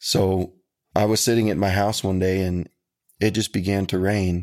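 This man's pitch is very deep and low, with fairly even intonation. The recording is very clean over a silent background. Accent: Texan. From South Texas (Karnes County). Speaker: country singer-songwriter. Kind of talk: interview.

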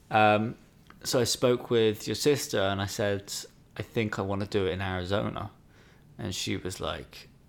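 A man with a British accent, fairly low-pitched, at a moderate pace with ordinary pitch variation and long, frequent pauses. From UK. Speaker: podcast host's partner. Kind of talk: casual chat.

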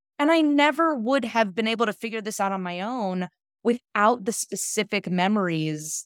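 Recorded very cleanly with a silent background and a dry, close sound with no echo, a woman with an American accent speaks at a moderate pace and a medium pitch with very wide pitch swings. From Los Angeles, US. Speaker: chef and food anthropologist, TV host. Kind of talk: podcast interview.

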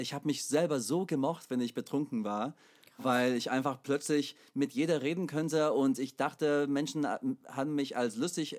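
A man's fairly high voice in an English accent, fairly slow and fairly even in intonation. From USA. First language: English (speaking German). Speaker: podcast co-host, musician. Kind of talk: casual chat. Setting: recording studio.

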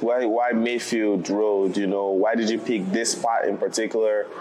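Amid noticeable background noise and audible room echo, a man speaks at medium pitch. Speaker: podcast host. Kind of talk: casual chat. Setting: in a lounge, recorded in person.

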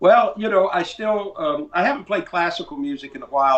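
Over noticeable background noise, a man with an Appalachian accent speaks with very wide pitch swings. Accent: Southern US, Appalachian foothills. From rural North Carolina. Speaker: composer and music publisher. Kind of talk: casual interview conversation.

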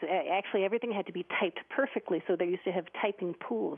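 Speaking fairly quickly in an American accent, a woman uses a medium pitch with ordinary pitch variation. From Detroit, Michigan. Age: 50s. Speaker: nonprofit executive director. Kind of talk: radio interview.

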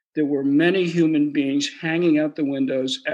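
This man has an unremarkable speaking voice, a fairly high pitch and fairly even intonation, and he talks at a moderate pace. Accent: American. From Trenton, New Jersey. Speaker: storyteller. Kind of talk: personal storytelling. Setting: virtual open mic.

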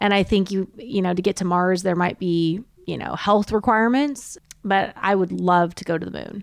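In an ordinary speaking voice, a woman talks with an American accent. Her pitch is medium with ordinary variation, and her pace is moderate. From Southern California. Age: 40s. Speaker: HR professional. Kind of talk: casual chat.

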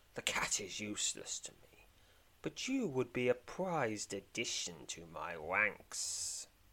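Growling in a put-on character voice, a man speaks fairly slowly at a fairly low pitch. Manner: snarling, menacing.

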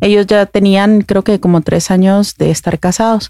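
A woman speaks at a fairly slow pace in a medium pitch, her dark, mellow tone held to a flat monotone, on a very clean, dry, close recording with no echo and a silent background. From Guatemala. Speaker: podcast host, mother. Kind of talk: casual interview conversation.

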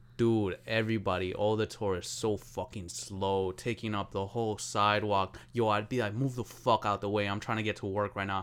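An unremarkable speaking voice with an American accent. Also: man. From New York. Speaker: podcast host. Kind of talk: casual chat.

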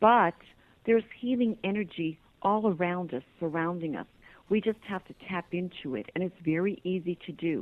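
Her loudness swings widely as a woman with an ordinary speaking voice talks at a fairly low pitch with ordinary pitch variation. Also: moderate pace. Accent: American. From Pennsylvania coal region. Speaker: psychic clairvoyant and author. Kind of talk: radio interview.

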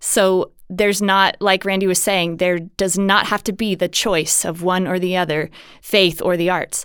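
A woman speaks in an American accent at a fairly slow pace, her intonation monotone and flat. The recording is very clean, with a silent background. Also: medium pitch for a woman. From US South. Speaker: dancer. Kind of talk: interview.

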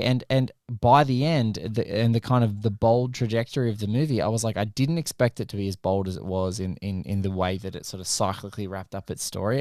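A man with an Australian accent speaks at a fairly quick pace in a dark, mellow tone with ordinary pitch variation. The sound is dry and close with no echo, in a very clean recording with a silent background. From Australia, Sydney. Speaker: film podcast host. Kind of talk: casual chat.

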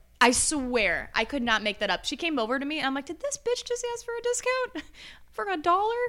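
A woman with extremely high pitch uses a raised, projected voice, a bright, sharp tone and very wide pitch swings. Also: fairly quick pace. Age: 30s. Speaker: podcast co-host, bar server. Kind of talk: casual chat.

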